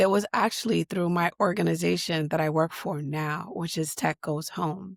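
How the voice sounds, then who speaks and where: With an American accent, a woman talks at a moderate pace in a fairly low pitch with vocal fry and fairly even intonation, the sound dry and close with no echo. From US Northeast, Boston. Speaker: digital equity leader. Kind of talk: interview conversation.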